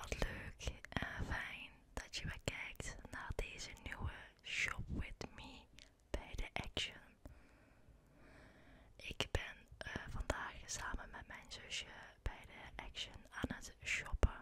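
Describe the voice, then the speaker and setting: Whispering from a woman at a very slow pace, long and frequent pauses, big swings in loudness. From Netherlands. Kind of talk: ASMR shopping voice-over. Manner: whispered.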